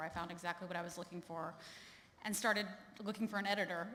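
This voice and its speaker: A woman speaks with an American accent at a medium pitch, her pitch varying in an ordinary way. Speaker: journalist. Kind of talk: award acceptance speech. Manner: halting, many fillers.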